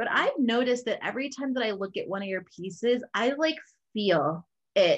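A woman talks in an unremarkable speaking voice at a moderate pace, her fairly high pitch moving with lively intonation. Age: 30s. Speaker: podcast host. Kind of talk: casual interview. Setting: video call.

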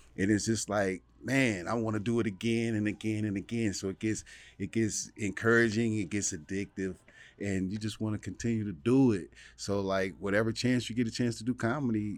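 A man with a normal speaking voice and an American accent, fairly low-pitched and fairly quick, with fairly even intonation. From Ohio, Dayton. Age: 40s. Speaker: comedian. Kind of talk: casual chat.

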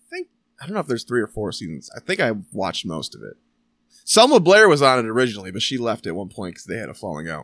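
Very fast, a man at medium pitch speaks in a bright, sharp tone with vocal fry, very wide pitch swings and big swings in loudness, the sound dry and close with no echo on a very clean recording with a silent background. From Michigan. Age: 30s. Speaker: podcast host. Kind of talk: casual chat.

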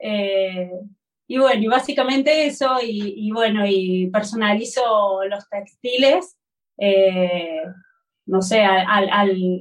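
A woman speaks in a Córdoba accent at a medium pitch with ordinary pitch variation. Her pace is very slow. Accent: Córdoba accent, noticeable. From Argentina, Córdoba. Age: 40s. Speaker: textile artisan. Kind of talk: interview.

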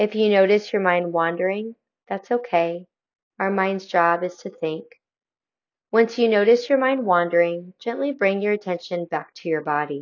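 A woman with an ordinary speaking voice, medium pitch and ordinary pitch variation. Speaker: meditation guide. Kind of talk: guided meditation. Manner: calm, slow, soothing; gentle, inviting.

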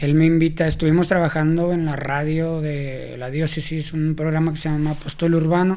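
A man with a Mexican accent speaks at a fairly high pitch in a dark, mellow tone and monotone, flat intonation. He keeps a moderate pace with hardly any pauses, and audible room echo surrounds him. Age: 20s. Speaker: youth leader and event organizer. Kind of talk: casual interview.

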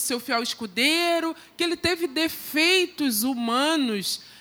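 A woman's raised, projected voice, high-pitched with a bright, sharp tone, ordinary pitch variation and a fairly slow pace. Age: 50s. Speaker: lay church preacher. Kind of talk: sermon. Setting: church service with congregation.

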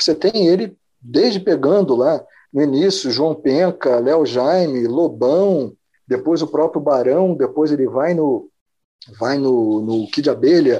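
Dark and mellow in tone, this voice belongs to a man. His pitch is fairly high. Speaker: biologist and music writer. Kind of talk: casual interview chat.

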